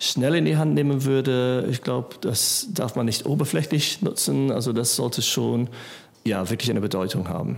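Speech at a moderate pace is heard over noticeable background noise. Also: man. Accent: English. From England. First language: English (speaking German). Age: 40s. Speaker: musician. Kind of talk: casual chat. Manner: halting, many fillers.

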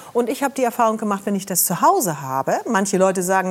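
The speech moves at a fairly quick pace with lively intonation. Noticeable background noise sits behind it. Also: woman. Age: 60s. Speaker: medical journalist and TV presenter. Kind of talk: talk show interview.

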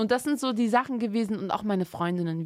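A woman with an ordinary speaking voice and ordinary pitch variation is heard in a dry, close sound with no echo. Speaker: podcast co-host. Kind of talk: casual chat.

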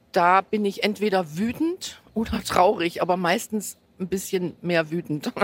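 Very slow delivery from a woman, with ordinary variation in pitch. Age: 50s. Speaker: football fan using a wheelchair. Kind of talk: interview. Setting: in a football stadium.

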